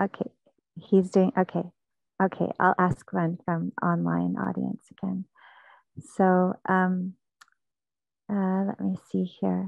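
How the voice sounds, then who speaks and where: The speech moves at a very slow pace with long, frequent pauses. The sound is dry with no echo. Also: woman, quiet background. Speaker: festival host. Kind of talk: live event hosting. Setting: outdoors. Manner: slow with pauses. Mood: warm, smiling, grateful. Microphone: earbuds.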